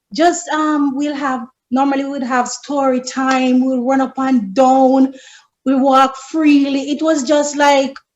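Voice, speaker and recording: In a strong Jamaican accent, a woman speaks with a high pitch. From rural Jamaica. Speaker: friend of the host. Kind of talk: casual chat.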